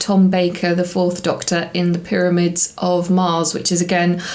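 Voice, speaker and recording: A woman is speaking, with audible room echo. Noticeable background noise can also be heard. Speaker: TV review YouTuber. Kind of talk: casual review monologue. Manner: calmer.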